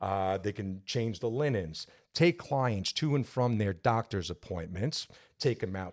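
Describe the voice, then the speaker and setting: In a New York accent, a man talks at a fairly slow pace with a fairly low pitch, the sound dry and close with no echo and the recording very clean against a silent background. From New York, Long Island. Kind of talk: interview conversation.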